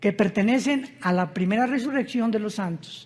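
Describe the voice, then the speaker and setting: A man speaks at a moderate pace with a high pitch and ordinary pitch variation. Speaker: preacher. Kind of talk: sermon.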